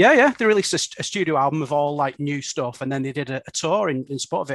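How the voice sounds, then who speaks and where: A very fast man with a Lancashire accent, fairly high-pitched, lively in intonation, in a dry, close sound with no echo. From Bolton, northern England. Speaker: podcast co-host. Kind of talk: casual chat.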